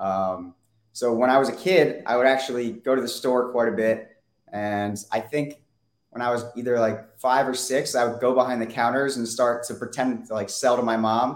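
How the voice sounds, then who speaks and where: A man speaks in a normal speaking voice with an American accent. His intonation stays fairly even. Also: medium pitch for a man, moderate pace. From Weston area, US. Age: 20s. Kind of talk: interview.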